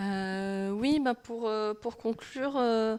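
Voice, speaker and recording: A woman with a fairly high pitch speaks in a fairly even intonation. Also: very clean recording, silent background. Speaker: manga translator. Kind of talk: public talk interview. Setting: library event with live audience. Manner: halting, many hesitations.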